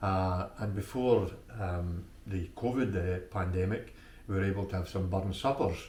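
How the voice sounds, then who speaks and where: In an Ayrshire accent, a man speaks at a fairly low pitch and a moderate pace with ordinary pitch variation, and audible room echo can be heard. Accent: Scottish, Ayrshire. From Scotland, Ayrshire. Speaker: local Burns enthusiast. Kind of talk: interview. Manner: hesitant, many fillers.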